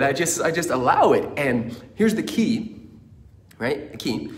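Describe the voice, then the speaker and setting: Audible room echo surrounds a man whose fairly high voice carries an energetic tone and very wide pitch swings. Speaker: motivational speaker. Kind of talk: motivational talk.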